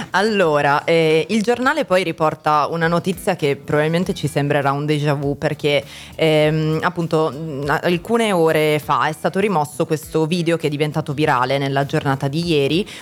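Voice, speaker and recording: A woman speaks at a moderate pace in a very deep, low voice, her loudness very even and her pitch varying in an ordinary way. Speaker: student radio host. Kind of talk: news reading. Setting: studio.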